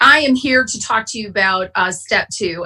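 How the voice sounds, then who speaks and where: A woman with an Upper Midwest US accent speaks at a moderate pace and fairly high pitch. Her tone is bright, sharp and passionate. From Wisconsin. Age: 50s. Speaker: AA speaker. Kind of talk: testimony. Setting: online conference.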